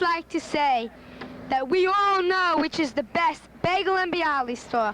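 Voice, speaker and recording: An American woman with an extremely high voice speaks fairly slowly with lively intonation amid noticeable background noise. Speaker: amateur interviewer. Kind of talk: home movie narration.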